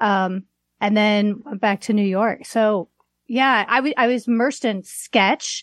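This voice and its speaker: A woman with an unremarkable speaking voice and an American accent talks fairly high and fairly slowly with fairly even intonation, the sound dry and close with no echo over a quiet background. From US Midwest, Chicago area (Waukegan). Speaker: comedian and online comedy business owner. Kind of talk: casual chat.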